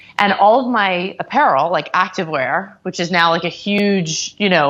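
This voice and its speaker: A woman speaks in a normal speaking voice with an American accent. Her pitch is fairly low with ordinary variation, and her pace is moderate. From US South, Atlanta. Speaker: entrepreneur, company founder. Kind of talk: interview.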